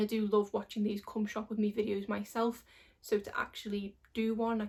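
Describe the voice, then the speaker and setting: A woman's fairly high, somewhat breathy voice at a fairly quick pace, with monotone, flat intonation. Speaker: beauty vlogger. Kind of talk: casual vlog talk.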